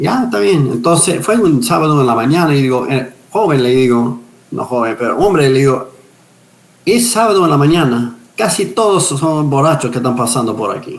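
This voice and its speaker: This man's fairly high voice swings very widely in pitch at a moderate pace. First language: English (speaking Spanish). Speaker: pastor, missionary and retired police officer. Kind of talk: interview testimony. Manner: halting with repetitions.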